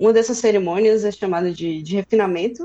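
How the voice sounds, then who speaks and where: A woman has an ordinary speaking voice. It sits at a fairly high pitch with lively intonation. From Brazil, interior of Bahia (Feira de Santana). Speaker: software developer. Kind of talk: casual tech conversation. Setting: live stream.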